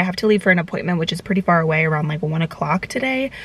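A raspy woman's voice with a fairly bright tone, fairly low pitch and lively intonation comes through over faint background noise.

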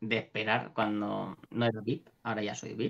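A man at a fairly slow pace. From Valencia, Spain; Spain. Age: 30s. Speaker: shop owner and gamer; gamer. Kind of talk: casual interview chat. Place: home room.

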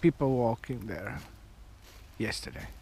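At a fairly slow pace, a man speaks at medium pitch with lively intonation and a slightly mellow tone.

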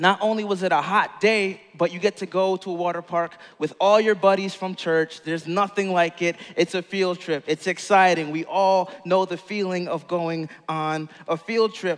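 This is a man with a high-pitched voice. He keeps a moderate pace and fairly even intonation. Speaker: pastor. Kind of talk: sermon. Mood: warm, smiling, storytelling. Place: stage. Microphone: headset.

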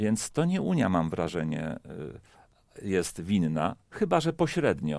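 At a very slow pace, the voice swings very widely in pitch, recorded with a dry sound with no echo against a quiet background. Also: man. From Poland. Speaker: pastor. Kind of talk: panel discussion. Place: studio. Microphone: headset.

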